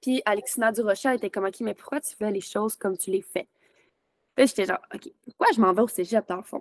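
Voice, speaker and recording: Heard with a dry, close sound and no echo, the speaker has a Quebec accent, ordinary pitch variation and big swings in loudness. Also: woman, fairly high pitch for a woman. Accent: Québécois French. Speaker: podcast host and virtual assistant. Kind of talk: casual interview. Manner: animated.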